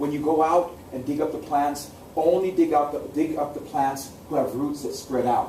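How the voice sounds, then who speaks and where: Someone with an American accent talks at a fairly quick pace with fairly even intonation, amid noticeable background noise and audible room echo. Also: man. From US Pacific Northwest, Seattle. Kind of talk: oral storytelling. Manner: repetitive, rhythmic narration.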